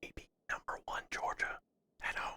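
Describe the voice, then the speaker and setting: Someone whispers at a moderate pace. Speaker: streamer. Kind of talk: casual chat. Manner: whispering.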